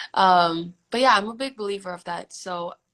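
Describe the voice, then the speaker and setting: Her pitch sits in the middle range with ordinary variation as a woman talks at moderate speed. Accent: American. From United States, moved from Indonesia in third grade. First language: Indonesian. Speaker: singer-songwriter. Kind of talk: interview.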